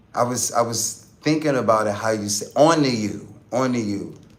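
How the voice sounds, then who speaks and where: In an Atlanta accent, a man of medium pitch talks with fairly even intonation. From Atlanta, Georgia.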